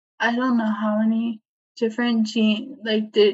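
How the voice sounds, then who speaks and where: A woman speaks in a somewhat breathy voice. Her intonation stays flat and monotone. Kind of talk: casual chat. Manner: halting, many fillers.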